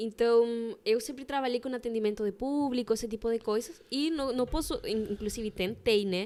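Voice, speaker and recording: Speaking at a moderate pace with a Spanish accent, a woman uses a fairly high pitch, a dark, mellow tone and ordinary pitch variation. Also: hardly any pauses. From Chilean Patagonia. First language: Spanish (speaking Portuguese). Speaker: embroiderer. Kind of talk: casual chat.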